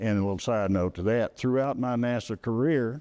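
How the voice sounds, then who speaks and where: In a quiet background, a man with a Texas accent speaks at a moderate pace and a medium pitch, his tone dark and mellow, with ordinary pitch variation. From Texas, Hill County. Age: 80s+. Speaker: retired space engineer. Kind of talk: public talk.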